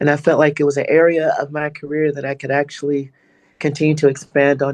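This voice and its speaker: Fairly quick and fairly high in pitch, a man talks in a normal speaking voice. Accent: American. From Georgia, US. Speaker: singer-songwriter. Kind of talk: interview answer. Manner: casual, reflective.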